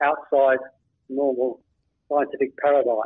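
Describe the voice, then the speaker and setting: A fairly high-pitched man with an Australian accent at a moderate pace. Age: 70s. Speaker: author and blogger. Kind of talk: interview.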